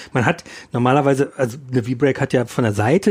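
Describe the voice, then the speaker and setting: A man speaks in a normal speaking voice at a moderate pace and medium pitch, with ordinary pitch variation. The sound is dry and close, with no echo. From Ruhr area, western Germany. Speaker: magazine editor and podcast host. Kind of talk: casual chat.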